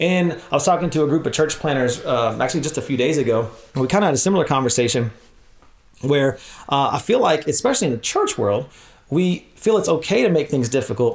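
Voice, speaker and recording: The delivery is very fast, with lively intonation and very even loudness. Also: man, fairly high pitch for a man. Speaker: church leadership trainer. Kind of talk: workshop talk.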